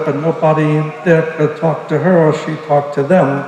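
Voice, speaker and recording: A man talks at a fairly quick pace with an American accent. Audible room echo and noticeable background noise fill the recording. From Brooklyn, New York. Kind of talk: testimony. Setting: church service.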